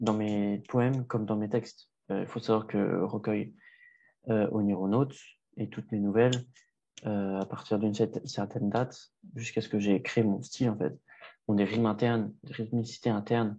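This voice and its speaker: Against a quiet background, a man with a fairly low pitch and a dark, mellow tone speaks in a flat monotone at a moderate pace, with long, frequent pauses. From France, Paris. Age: 20s. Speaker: rapper and poet. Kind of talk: interview. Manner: hesitant, many fillers.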